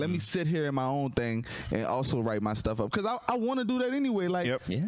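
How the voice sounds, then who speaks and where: Over noticeable background noise, a man with a New Orleans accent talks very fast at a fairly high pitch, his pitch swinging very widely. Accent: New Orleans Southern. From Louisiana, New Orleans area. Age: 30s. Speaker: stand-up comedian. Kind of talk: casual chat. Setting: studio.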